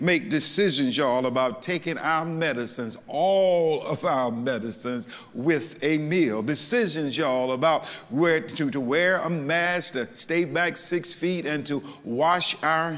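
A man speaks fairly slowly, and his pitch varies an ordinary amount. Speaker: pastor. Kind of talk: sermon. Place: church.

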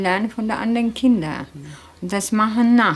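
A woman's somewhat breathy, medium-pitched voice with a Turkish accent and fairly even intonation. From Turkey. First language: Turkish (speaking German). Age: 30s. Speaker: factory worker returning to Turkey. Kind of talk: documentary interview.

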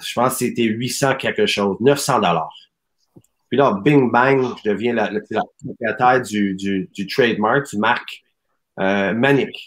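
Pausing long and often, a man speaks very slowly at a medium pitch with ordinary pitch variation. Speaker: soccer academy president; guest. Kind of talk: casual chat. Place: home room.

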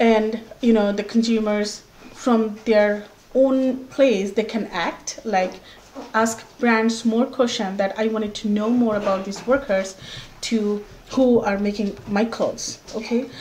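With a Bengali accent, a woman talks at a fairly slow pace and fairly high pitch, her intonation fairly even over light background noise. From Bangladesh. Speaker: workers' rights activist. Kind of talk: interview. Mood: earnest, persuasive. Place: home room.

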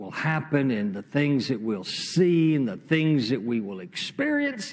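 The man's intonation is lively. He talks at a very slow pace. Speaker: pastor. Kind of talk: sermon. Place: church. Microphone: lapel.

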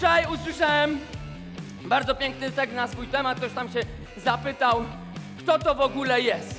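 Over music in the background, a speaker with a Polish highland accent uses a raised, projected voice and an upbeat tone at a moderate pace, with ordinary pitch variation and long, frequent pauses. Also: man, extremely high pitch for a man. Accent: Polish highlander dialect. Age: 30s. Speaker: fitness trainer. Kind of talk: workout class talk to crowd. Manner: upbeat, shouting.

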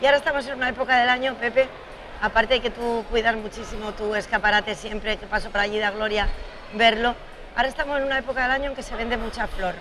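A woman speaks at a fast pace with few pauses and fairly even intonation. Her pitch is fairly high, and clear background noise runs underneath.

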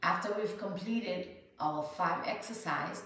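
A woman is heard with audible room echo and light background noise. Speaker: health coach and podcaster. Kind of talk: guided breathing exercise demonstration; guided meditation. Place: home room. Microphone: camera far.

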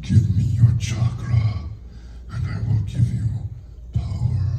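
A man puts on a raspy, guttural character voice, pitched fairly low and spoken at a fairly slow pace over noticeable background noise. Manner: whispering.

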